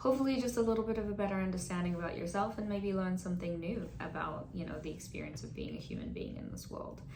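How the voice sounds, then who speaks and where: Audible room echo surrounds a woman's voice. She speaks at a very fast pace with hardly any pauses. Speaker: mental health counselor. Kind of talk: educational talk. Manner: casual, conversational.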